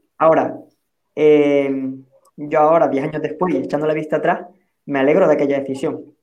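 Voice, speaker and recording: Audible room echo surrounds this recording. A man speaks at a fairly quick pace in a fairly high pitch. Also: long, frequent pauses. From Andalusia, Spain (Huelva). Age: 30s. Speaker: social enterprise founder. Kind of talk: panel discussion.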